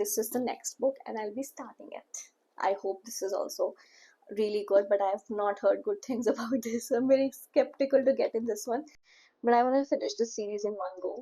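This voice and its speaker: Speaking at a fairly quick pace, a woman has a dark, mellow tone, a fairly high pitch and ordinary pitch variation. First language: not English. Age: 20s. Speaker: book vlogger. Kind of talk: casual chat. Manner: casual.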